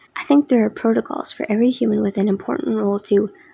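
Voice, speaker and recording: Noticeable background noise is present. Over it, a woman speaks at a fairly quick pace. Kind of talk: casual theory commentary narration. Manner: rushed.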